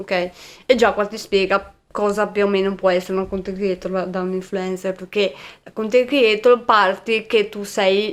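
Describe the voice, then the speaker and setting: The speaker's delivery is monotone and flat, with big swings in loudness. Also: woman, medium pitch for a woman, moderate pace. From Veneto, Venice province. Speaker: content creator. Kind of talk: podcast interview. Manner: halting.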